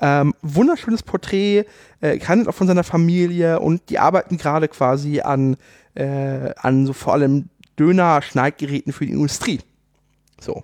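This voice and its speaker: The speech moves at a moderate pace with ordinary pitch variation, and the sound is dry and close with no echo. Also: man, fairly high pitch for a man. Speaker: podcast co-host. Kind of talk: casual chat. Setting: studio.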